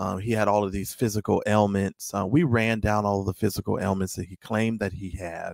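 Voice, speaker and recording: In a normal speaking voice, the speaker moves at a fairly quick pace with hardly any pauses and fairly even intonation, in a dry, close sound with no echo. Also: man, fairly low pitch for a man. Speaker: guest, member of online group. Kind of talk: casual discussion, explaining side. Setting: remote call into livestream.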